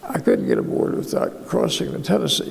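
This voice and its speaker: Noticeable background noise plays under a man who talks with an American accent. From United States. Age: 80s+. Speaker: war veteran. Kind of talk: interview answer.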